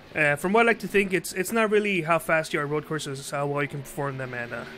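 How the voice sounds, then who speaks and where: Music plays in the background as a man talks very fast. His voice is fairly high, with ordinary pitch variation. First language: not English. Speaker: sim racing commentator. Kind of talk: live commentary. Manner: halting.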